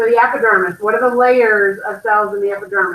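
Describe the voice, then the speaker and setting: A woman speaks in an unremarkable speaking voice at a fairly high pitch. Her pace is fairly quick. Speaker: anatomy and physiology teacher. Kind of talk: test review lecture.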